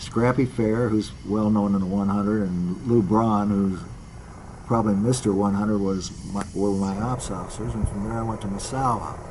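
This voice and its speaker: Through noticeable background noise and audible room echo, a man speaks in a fairly low pitch with fairly even intonation. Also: moderate pace. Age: 80s+. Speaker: retired fighter pilot. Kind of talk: interview reminiscence.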